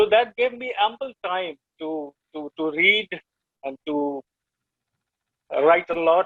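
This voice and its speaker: A man with an Indian accent, high in pitch, at a very slow pace, with lively intonation, big swings in loudness and long, frequent pauses. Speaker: poet. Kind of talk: interview. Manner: halting.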